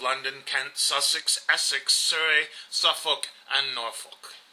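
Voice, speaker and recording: A moderate pace over noticeable background noise. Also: man. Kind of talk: storytelling narration.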